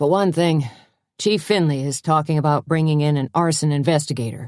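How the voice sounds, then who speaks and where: This is a put-on character voice, gruff and mumbling at a middle pitch. The pace is fairly quick. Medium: read story. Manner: hesitant, gruff, mumbling.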